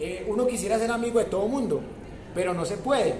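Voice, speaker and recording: Audible room echo and noticeable background noise surround a man speaking at a fairly quick pace with a high pitch for a man. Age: 80s+. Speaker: university professor. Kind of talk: lecture.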